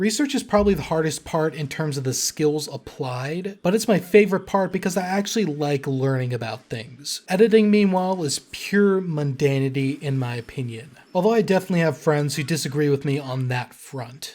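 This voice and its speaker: On a very clean recording with a silent background, a man with an American accent speaks in an upbeat tone and a fairly high pitch. His pace is fairly quick, with lively intonation and hardly any pauses. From California. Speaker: history YouTuber. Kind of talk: Q&A monologue. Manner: upbeat, articulate.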